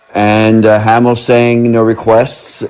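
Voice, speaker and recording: Noticeable background noise surrounds a man whose voice sits fairly low. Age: 60s. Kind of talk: interview recollection.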